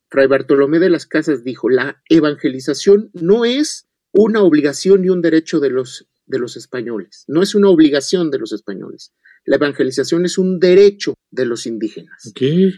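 A man with a dark, mellow tone speaks at a moderate pace with lively intonation, the sound dry and close with no echo. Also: fairly high pitch for a man. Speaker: historian. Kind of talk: radio interview, history lecture.

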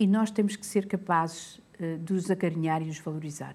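A woman with a European Portuguese accent speaks at a moderate pace in a somewhat breathy, dark and mellow tone with ordinary pitch variation. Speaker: public health professor. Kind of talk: interview. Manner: hesitant.

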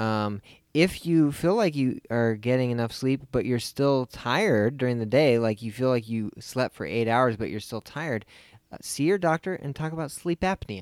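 An ordinary speaking voice moves at a moderate pace with lively intonation. The sound is dry and close with no echo, and the recording is very clean over a silent background. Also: man, medium pitch for a man. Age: 30s. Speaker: film podcast co-host. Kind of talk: casual chat.

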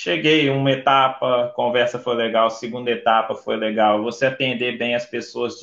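At a fairly slow pace, a man with a plain, everyday voice speaks at a medium pitch. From Brazil, Vila Velha, Espírito Santo. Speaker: flight attendant. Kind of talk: interview on a livestream.

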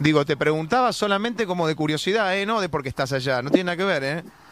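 A man speaks at a very fast pace. His pitch is fairly high, and his intonation is lively. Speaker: radio host. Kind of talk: radio interview. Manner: animated.

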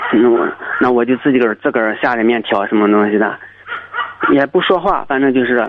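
Someone talks at a fairly quick pace with long, frequent pauses while noticeable background noise runs underneath. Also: man, medium pitch for a man, ordinary pitch variation, very even loudness. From rural China. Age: 30s. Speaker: greenhouse watermelon farmer. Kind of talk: phone-in personal story. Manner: halting.

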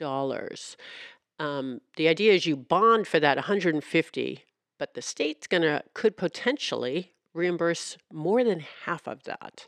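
In a normal speaking voice, a woman with a fairly low pitch speaks at a fairly slow pace with lively intonation, the sound dry and close with no echo over a quiet background. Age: 60s. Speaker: local news reporter and podcast host. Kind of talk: casual chat; interview.

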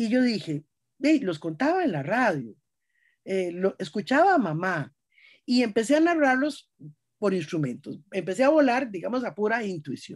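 The speaker has a Costa Rican accent and a moderate pace. Pitch swings very widely against a quiet background. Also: woman, fairly high pitch for a woman. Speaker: writer and storyteller. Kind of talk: interview.

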